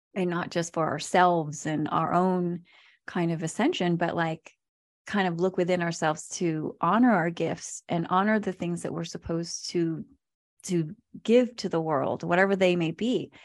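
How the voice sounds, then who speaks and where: A woman's unremarkable speaking voice, fairly low in pitch, with fairly even intonation at a moderate pace against a quiet background. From Virginia, US; born in the Philippines. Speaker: nonprofit staff member, former corporate worker. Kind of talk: casual group discussion.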